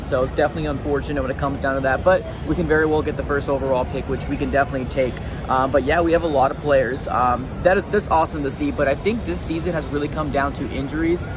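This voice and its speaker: Over clear background music, a man talks very fast with ordinary pitch variation, and the sound is dry with no echo. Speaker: sports fan vlogger. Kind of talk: casual vlog chat. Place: stadium. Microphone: phone near.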